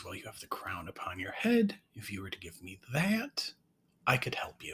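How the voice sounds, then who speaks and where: A man's whispering in a put-on character voice. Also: moderate pace. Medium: read story.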